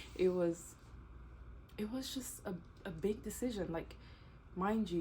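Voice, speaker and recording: A woman's voice with audible room echo. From DR Congo, Kinshasa. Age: 20s. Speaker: YouTuber and teacher. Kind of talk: casual Q&A vlog.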